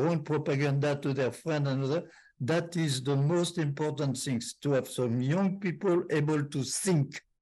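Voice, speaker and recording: A man with a fairly high pitch and a dark, mellow tone speaks at a moderate pace, his loudness very even and his intonation fairly even, over a quiet background. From France. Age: 80s+. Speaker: war veteran. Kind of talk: testimony. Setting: video call. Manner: halting.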